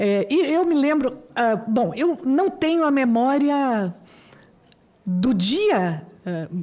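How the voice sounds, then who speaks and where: A woman with a high pitch and a dark, mellow tone speaks at a very slow pace, with very wide pitch swings and long, frequent pauses. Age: 60s. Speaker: university professor. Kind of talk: formal speech at public hearing. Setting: senate committee hearing room. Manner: halting, with many fillers.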